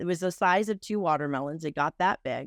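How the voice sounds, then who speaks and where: A woman speaks with a Texan accent in a fairly low pitch and lively intonation. The recording is very clean, with a silent background and a dry, close sound with no echo. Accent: Texan twang. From Texas (Houston area). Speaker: entrepreneur and interviewer. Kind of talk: interview conversation.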